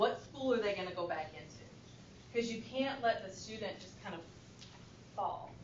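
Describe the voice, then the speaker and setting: The speaker uses lively intonation over noticeable background noise, with audible room echo in the space. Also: woman. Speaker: school administrator presenting to education board. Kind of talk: presentation.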